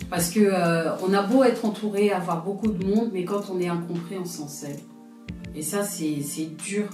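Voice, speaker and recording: Music plays in the background as a woman speaks at a medium pitch. She goes fairly slowly, with fairly even intonation. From France, of Congolese heritage. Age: 30s. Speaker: customer service technician. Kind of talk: interview answer.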